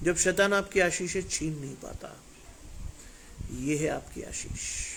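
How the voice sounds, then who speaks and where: The voice moves through big swings in loudness with fairly even intonation, and room echo is audible. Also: man, high pitch for a man. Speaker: preacher. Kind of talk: sermon. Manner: emphatic.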